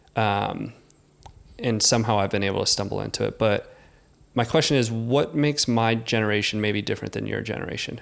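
At a fairly quick pace, an unremarkable speaking voice talks with fairly even intonation. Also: man, medium pitch for a man. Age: 30s. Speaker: podcast host. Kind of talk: casual chat.

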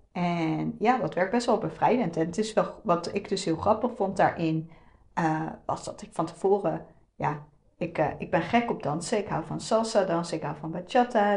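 At a moderate pace, a woman speaks in an unremarkable speaking voice with a medium pitch and ordinary pitch variation. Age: 30s. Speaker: podcast host, web designer. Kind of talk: solo podcast monologue. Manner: casual, many fillers.

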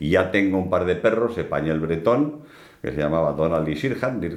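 Over noticeable background noise and audible room echo, a man with a very deep, low pitch talks with lively intonation. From Basque Country, Bilbao. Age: 70s. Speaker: business executive and hunter. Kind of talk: casual interview.

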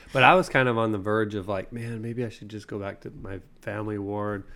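A man's fairly low voice with an American accent at a very fast pace. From Utah. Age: 30s. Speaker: podcast co-host. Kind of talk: casual chat.

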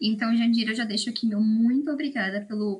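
A woman speaks fairly quickly in a fairly high pitch, her voice somewhat breathy. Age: 20s. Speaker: student podcast co-host. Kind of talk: casual interview.

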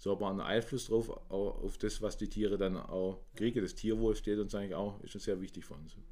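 A man talks at a fairly quick pace with hardly any pauses. His loudness swings widely. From Swabia, Germany. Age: 50s. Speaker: managing director of an inclusion social enterprise. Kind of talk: interview.

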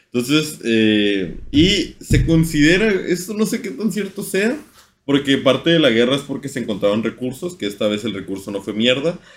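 Speaking at a fairly slow pace, a man with a fairly high voice moves through very wide pitch swings. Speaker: podcast host. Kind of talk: casual chat. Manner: informal.

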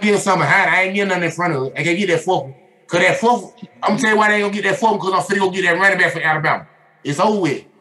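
Over noticeable background noise, a man with a high pitch talks very fast in a raised, projected voice. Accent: American. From Atlanta, Georgia (US South). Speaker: sports podcast host. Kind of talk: casual chat. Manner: animated.

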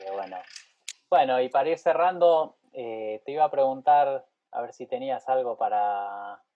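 At a fairly slow pace, a man with a Rioplatense accent talks at medium pitch. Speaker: podcast host and pianist. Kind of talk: casual interview chat.

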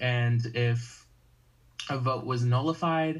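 A man with an American accent, medium-pitched and somewhat breathy, at a very slow pace. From US South, North Carolina. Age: 18. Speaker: game production member. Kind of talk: casual chat.

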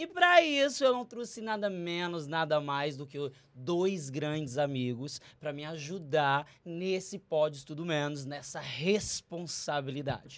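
This man's voice is fairly high in pitch, with ordinary pitch variation. He speaks at a fairly slow pace, his loudness swinging widely. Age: 30s. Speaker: podcast host. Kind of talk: casual interview.

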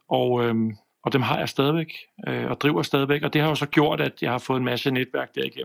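A man talks at a medium pitch. The sound is dry and close with no echo. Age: 50s. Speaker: video production business owner. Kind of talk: casual chat. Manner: halting, many fillers and repeats.

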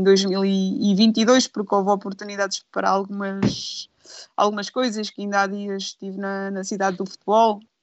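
The delivery comes at a fairly slow pace in a monotone, flat intonation. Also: woman. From Aveiro district, Portugal. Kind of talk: casual chat.

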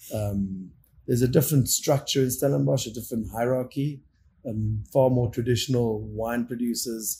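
A man's somewhat breathy voice, dark and mellow in tone, at a medium pitch and moderate pace, with ordinary pitch variation and big swings in loudness. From South Africa, Cape Town area (Constantia). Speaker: winemaker. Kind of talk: casual interview. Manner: animated.

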